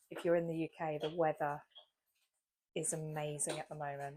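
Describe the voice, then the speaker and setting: In a British accent, a woman speaks with a very deep, low pitch. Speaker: vlogger. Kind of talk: casual chat.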